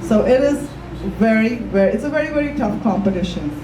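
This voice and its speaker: A woman speaks at a fairly high pitch with lively intonation. Music plays in the background, and audible room echo surrounds her voice. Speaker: fashion designer, entrepreneur. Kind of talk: panel discussion.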